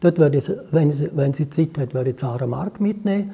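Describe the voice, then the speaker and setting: A man with a dark, mellow tone speaks at a fairly high pitch with ordinary pitch variation. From Switzerland, Graubünden (Chur). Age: 70s. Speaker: musician. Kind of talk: interview. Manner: hesitant.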